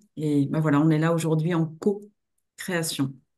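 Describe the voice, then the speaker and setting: A dark, mellow tone unfolds at a fairly slow pace against a quiet background. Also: woman. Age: 50s. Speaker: trainer and coach; trainer, coach. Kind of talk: webinar presentation. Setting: online webinar. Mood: warm, engaged. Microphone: video call.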